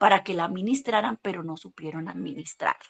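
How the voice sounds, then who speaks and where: A woman speaks in an animated tone with ordinary pitch variation, the sound dry and close with no echo over a quiet background. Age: 60s. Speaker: Bible teacher. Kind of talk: sermon-style church class.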